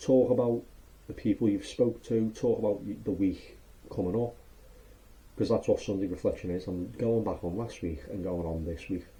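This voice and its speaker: A man's fairly low, dark and mellow voice, somewhat breathy, with ordinary pitch variation and a fairly quick pace. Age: 20s. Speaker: vlogger. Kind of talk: casual vlog monologue. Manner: fast; animated.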